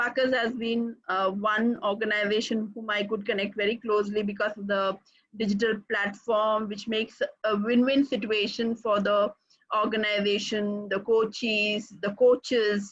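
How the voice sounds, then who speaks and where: A woman speaks at a moderate pace in a fairly high voice with an Indian accent, her intonation monotone and flat. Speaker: executive coach. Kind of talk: webinar presentation.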